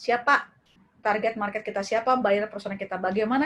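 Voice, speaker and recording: At a fairly quick pace, a woman talks in an unremarkable speaking voice with a medium pitch. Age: 30s. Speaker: lecturer, e-commerce workshop speaker. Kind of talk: webinar lecture. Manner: casual, conversational.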